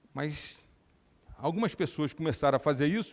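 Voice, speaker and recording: On a very clean recording with a silent background, a man speaks at a moderate pace. His dark, mellow tone sits at a fairly high pitch with lively intonation. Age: 60s. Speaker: neurosurgeon and scientist giving a talk. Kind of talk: lecture.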